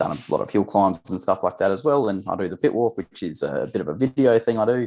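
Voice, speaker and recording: Talking very fast with lively intonation, a man with an Australian accent has a dark, mellow tone and vocal fry, the sound dry and close with no echo over a quiet background. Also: medium pitch for a man. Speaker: grassroots racer and video maker. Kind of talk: casual chat.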